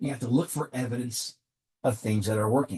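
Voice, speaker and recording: Pitch moves in an ordinary way. There is some breathiness to the voice. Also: man. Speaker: executive coach. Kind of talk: motivational talk to camera.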